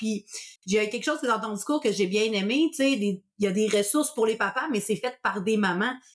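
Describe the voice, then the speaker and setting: The speaker talks with a Quebec accent at a fairly quick pace. The tone is animated, with ordinary pitch variation. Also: woman. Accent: Québécois French. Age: 30s. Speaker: podcast host, sleep consultant. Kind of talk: casual interview.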